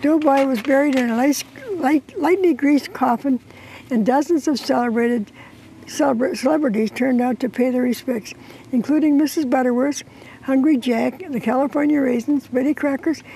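A dark, mellow tone at a moderate pace, with ordinary pitch variation. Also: woman.

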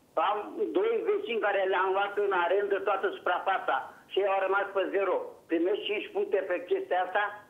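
The pace here is moderate. Loudness stays very even throughout. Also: man. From Romania, Teleorman; Romania. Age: 60s. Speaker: retired farmer; studio guest or host. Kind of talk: phone-in question. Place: studio.

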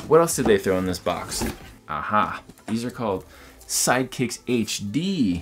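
Clear music plays in the background. A man speaks over it at a fairly slow pace. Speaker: product reviewer. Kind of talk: casual vlog chat. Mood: enthusiastic, upbeat. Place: home room.

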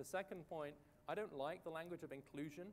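A man with a British accent talks at a very fast pace with ordinary pitch variation, over light background noise. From Britain. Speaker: economic policy researcher. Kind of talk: panel discussion. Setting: stage with audience at a conference. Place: stage. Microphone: lapel.

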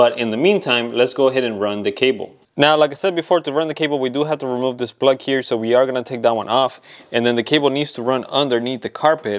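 Talking at a very fast pace, a man shows ordinary pitch variation over a quiet background. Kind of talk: tutorial. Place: garage. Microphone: phone near.

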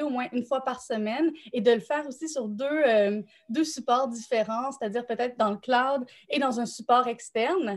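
With a Quebec accent, a woman speaks at a high pitch and a moderate pace. Her pitch variation is ordinary, and the background is quiet. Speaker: nonprofit director supporting thesis writers; panelist, thesis coach. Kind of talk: live panel discussion. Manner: hesitant, many fillers. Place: home room. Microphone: video call.

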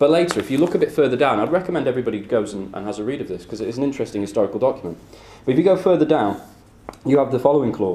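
A man with a British accent at a very fast pace, very wide pitch swings, audible room echo and light background noise. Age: 20s. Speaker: political activist speaker. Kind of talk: lecture. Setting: stage with audience. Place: classroom. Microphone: camera far.

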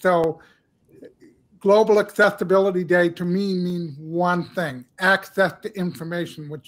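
A high-pitched man at a fairly slow pace, with fairly even intonation. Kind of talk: panel discussion. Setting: video call. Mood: earnest, reflective. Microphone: headset.

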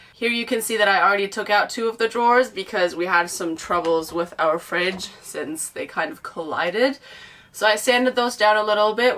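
Speaking fairly fast, a woman lets her pitch vary by a normal amount. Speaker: van builder vlogger. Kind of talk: casual vlog chat. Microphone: camera far.

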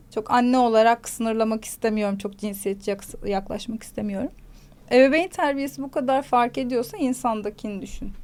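A woman with an unremarkable speaking voice, fairly high pitch and ordinary pitch variation, at a moderate pace. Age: 30s. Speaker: psychology commentator, mother. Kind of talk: casual chat.

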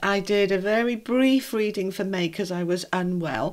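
A woman talks at a fairly slow pace, and the background is quiet. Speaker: tarot reader. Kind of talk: casual reading intro to viewers. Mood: warm, glad to be back. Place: home room. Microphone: phone near.

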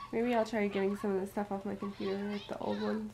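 Noticeable background noise sits under the speech. The tone is weary and the pace moderate. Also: woman. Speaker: vlogger. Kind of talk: casual vlog chat. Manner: weary, low, sickly voice. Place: home room. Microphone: phone near.

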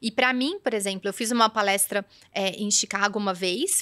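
Bright and sharp in tone, a woman talks at a medium pitch with ordinary pitch variation. The sound is dry and close, with no echo. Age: 40s. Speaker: image and style consultant. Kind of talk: podcast interview.

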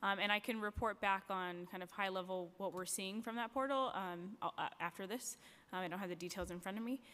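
A woman speaks at a fairly quick pace with a medium pitch. Her tone is bright and sharp, with fairly even intonation. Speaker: education department official. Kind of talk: formal testimony at a public hearing. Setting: council chambers hearing. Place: hall. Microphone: podium.

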